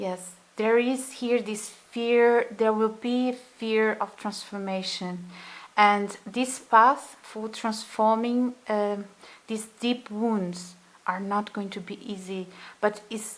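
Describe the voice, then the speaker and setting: A woman's fairly high voice at a very slow pace, monotone and flat in intonation, with big swings in loudness. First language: not English. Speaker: tarot reader. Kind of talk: tarot reading monologue. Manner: halting, many fillers; gentle, soothing.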